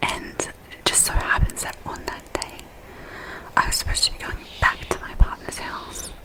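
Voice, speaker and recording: Noticeable background noise surrounds a woman who whispers at a moderate pace. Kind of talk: ASMR personal storytelling. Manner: whispered.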